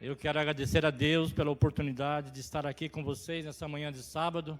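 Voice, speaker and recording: A plain, everyday voice from a man, pitched fairly high and moving at a fairly quick rate. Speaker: lay preacher. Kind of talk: sermon. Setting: church service.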